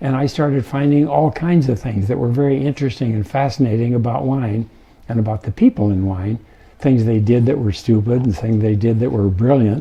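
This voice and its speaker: A somewhat breathy, medium-pitched male voice at a fairly quick pace, with ordinary pitch variation. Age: 80s+. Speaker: winemaker. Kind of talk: interview. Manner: halting, many fillers.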